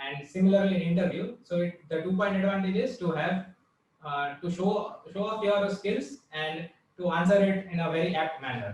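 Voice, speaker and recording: The man's voice sits at a high pitch with ordinary pitch variation, delivered at a moderate pace. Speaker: college alumnus giving placement advice. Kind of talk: panel advice talk. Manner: halting, many fillers.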